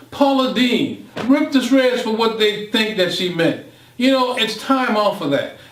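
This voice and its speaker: A man with an extremely high pitch speaks fairly slowly amid audible room echo and noticeable background noise. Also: ordinary pitch variation. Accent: American. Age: 60s. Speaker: motivational speaker. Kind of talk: monologue presentation. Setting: home studio. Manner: impassioned.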